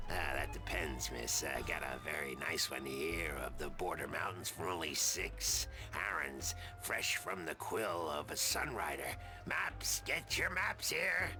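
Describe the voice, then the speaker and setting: Over loud background music, a man puts on a raspy character voice and speaks at a fairly slow pace. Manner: hawking wares.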